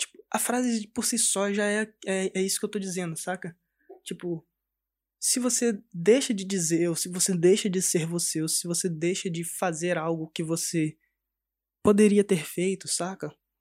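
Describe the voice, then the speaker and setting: A man's high-pitched voice at a moderate pace, in a dry, close sound with no echo. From Brazil, Espírito Santo (Cariacica, near Vitória). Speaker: podcast host. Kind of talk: casual chat. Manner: animated.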